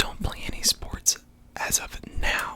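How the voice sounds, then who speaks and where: A man whispering over noticeable background noise. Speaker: ASMR creator. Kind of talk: casual talk to camera.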